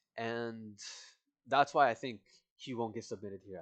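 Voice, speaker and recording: A man talks fairly quickly, keeping his intonation fairly even. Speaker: MMA prediction youtuber. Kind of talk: casual fight breakdown monologue. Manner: halting, self-correcting; casual, informal.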